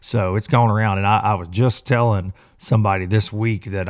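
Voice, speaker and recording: This man talks fairly quickly in a Southern US accent, with fairly low pitch and ordinary pitch variation. The recording is very clean, with a silent background. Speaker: podcast host. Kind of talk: casual chat.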